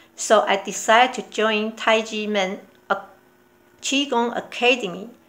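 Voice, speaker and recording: Speaking very slowly, a woman talks with a Taiwanese accent. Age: 60s. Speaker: qigong practitioner. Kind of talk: prepared testimony.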